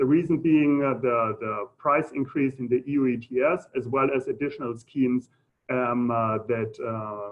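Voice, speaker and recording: A man with a German accent speaks at a fairly slow pace and medium pitch, with ordinary pitch variation. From Germany. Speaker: economist. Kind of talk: lecture. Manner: halting, many fillers.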